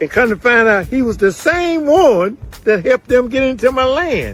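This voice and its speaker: Music plays in the background as a man speaks with an American accent. His pitch is extremely high. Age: 80s+. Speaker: landowner in a land dispute. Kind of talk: testimony.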